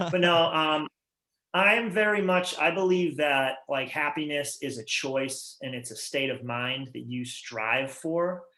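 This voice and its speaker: A man speaks with a Massachusetts accent. His pitch is fairly high. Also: ordinary pitch variation. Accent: Massachusetts accent, noticeable. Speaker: rock band musician. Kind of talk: casual interview chat. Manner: fast, halting with repetitions.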